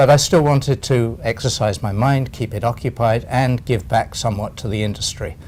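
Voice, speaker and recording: With an English accent, a man talks at a fairly quick pace with hardly any pauses, his medium pitch showing ordinary variation and a somewhat breathy quality. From England. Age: 70s. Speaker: retired accountant and LinkedIn consultant. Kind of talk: interview.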